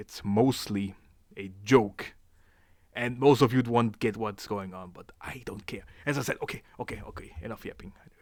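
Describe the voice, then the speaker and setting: At a moderate pace and medium pitch, a man with a strong German accent speaks with ordinary pitch variation and big swings in loudness. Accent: thick German. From Germany. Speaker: YouTuber. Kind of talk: casual commentary video. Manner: halting, many fillers and repeats.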